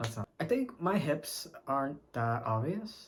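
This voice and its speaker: His voice comes across as somewhat breathy. The man keeps to a fairly slow pace. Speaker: vlogger. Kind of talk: casual chat. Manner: halting.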